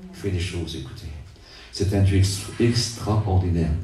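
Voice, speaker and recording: Amid noticeable background noise and audible room echo, a man with a fairly low pitch speaks at a fairly slow pace. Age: 70s. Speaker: preacher. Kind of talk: sermon. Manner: halting, repetitive.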